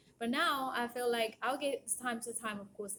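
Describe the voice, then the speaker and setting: In a Japanese accent, a woman speaks at a moderate pace with fairly even intonation. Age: 40s. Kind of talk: casual monologue. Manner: halting.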